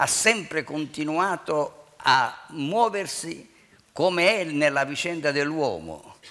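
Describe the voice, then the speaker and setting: A man talks at a very slow pace with a bright, sharp tone and fairly high pitch. His pitch varies in an ordinary way against a quiet background. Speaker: city mayor. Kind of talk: public speech. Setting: stage with audience. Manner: formal. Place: stage. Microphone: headset.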